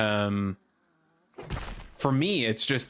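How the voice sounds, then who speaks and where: A man talks at a very slow pace, his intonation fairly even. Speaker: gaming streamer. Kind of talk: live gameplay commentary. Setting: live stream. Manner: repeats sentence starts, many uhs and ums.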